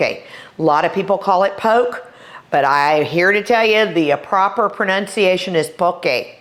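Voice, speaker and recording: Over noticeable background noise, a woman with a Texas accent talks at a medium pitch in an animated tone with lively intonation. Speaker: chef. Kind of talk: cooking tutorial. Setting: kitchen.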